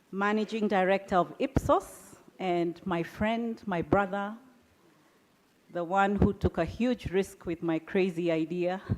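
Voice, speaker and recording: A woman at a medium pitch with a Kenyan accent, fairly even intonation and a fairly slow pace. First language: Kikuyu. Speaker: business founder and CEO. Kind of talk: keynote speech.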